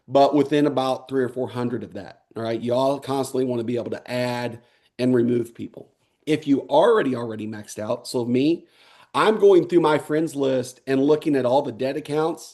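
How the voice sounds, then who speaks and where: This man's voice sits at a medium pitch. Its tone is dark and mellow. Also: ordinary pitch variation. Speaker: network marketing trainer. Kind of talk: online training webinar. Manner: fast; casual, filler-heavy.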